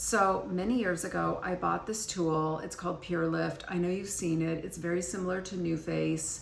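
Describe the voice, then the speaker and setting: A woman talks at a moderate pace with hardly any pauses. Noticeable background noise and audible room echo fill the recording. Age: 60s. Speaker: beauty and skincare vlogger. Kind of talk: casual chat. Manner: conversational, with frequent fillers.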